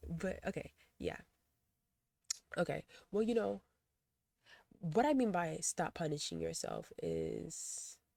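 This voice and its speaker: A woman speaking at a very slow pace with long, frequent pauses. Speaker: video blogger and poet. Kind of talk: casual vlog monologue. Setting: close to the camera. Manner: halting, with self-corrections.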